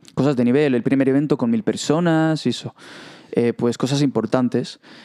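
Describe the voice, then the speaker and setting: Dark, mellow tone from a man, in a dry, close sound with no echo. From Israel. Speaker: podcast guest, young presenter. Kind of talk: casual interview. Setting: studio.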